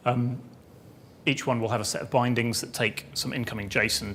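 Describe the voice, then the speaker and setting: Talking at a fairly quick pace, a man has an unremarkable speaking voice at a medium pitch. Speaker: software developer giving a conference talk. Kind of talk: technical talk.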